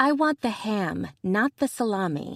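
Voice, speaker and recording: At a fairly slow pace, a female-sounding put-on character voice holds a medium pitch. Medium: read story. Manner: snappy, playful.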